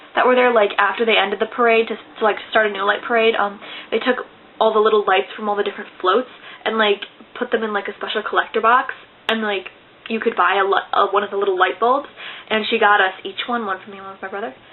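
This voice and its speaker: A woman rattles off words at a very fast pace and fairly high pitch, flat and monotone in intonation, with big swings in loudness over noticeable background noise. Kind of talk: casual talk to camera.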